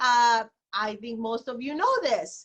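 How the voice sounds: A woman speaks slowly with fairly high pitch, a fairly bright tone and ordinary pitch variation.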